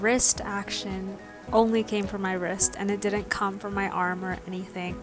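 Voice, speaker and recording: Music plays in the background as a soft-spoken woman talks in a calm tone at a medium pitch. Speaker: artist. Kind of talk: casual voiceover for a draw-with-me art tutorial. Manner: calm, soft.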